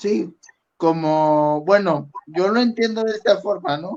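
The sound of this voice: A man speaks at a high pitch with a slightly mellow tone. His pace is fairly slow and his pitch varies in an ordinary way.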